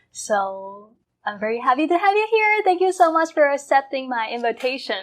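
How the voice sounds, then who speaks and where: Speaking with a Chinese accent, a woman uses a high pitch with very wide pitch swings. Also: moderate pace. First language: Mandarin Chinese. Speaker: podcast host. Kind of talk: interview.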